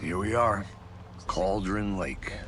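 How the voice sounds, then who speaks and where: Clear background noise sits behind a man doing a put-on character voice at a fairly low pitch. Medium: video game. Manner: dry, terse.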